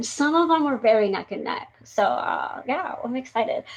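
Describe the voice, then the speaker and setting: Her voice sits high. She talks at a moderate speed. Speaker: live stream show host. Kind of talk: casual live stream chat. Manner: animated.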